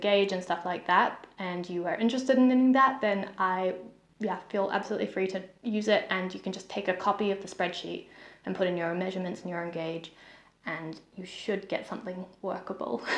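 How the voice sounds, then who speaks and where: At a moderate pace, a woman with a New Zealand accent speaks at medium pitch with ordinary pitch variation. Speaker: knitting vlogger. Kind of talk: casual chat. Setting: home, sitting on the floor.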